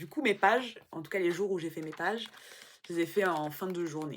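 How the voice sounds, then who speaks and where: At a fairly quick pace, a woman speaks at medium pitch with ordinary variation. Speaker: vlogger and aspiring writer. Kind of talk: casual vlog. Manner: halting.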